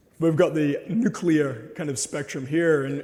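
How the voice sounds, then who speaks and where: A fairly slow male voice, fairly high-pitched, with a dark, mellow tone, ordinary pitch variation and audible room echo. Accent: Australian. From Australia. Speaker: presenter. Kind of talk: lecture.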